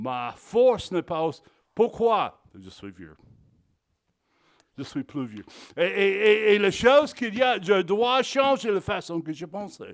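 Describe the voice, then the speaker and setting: A high-pitched man with an English accent at a very slow pace, very wide pitch swings, big shifts in loudness and long, frequent pauses, on a very clean recording with a silent background. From Texas. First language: English (speaking French). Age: 60s. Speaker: pastor. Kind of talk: sermon. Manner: halting, repeats words.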